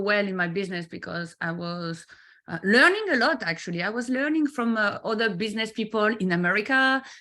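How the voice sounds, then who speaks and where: A woman with a French accent and a bright, sharp tone. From France. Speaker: business mentor. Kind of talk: interview. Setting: live video stream. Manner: halting, many fillers.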